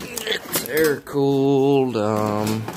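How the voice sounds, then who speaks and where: A man speaks over noticeable background noise. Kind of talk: casual vlog chat. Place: garage. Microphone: phone near.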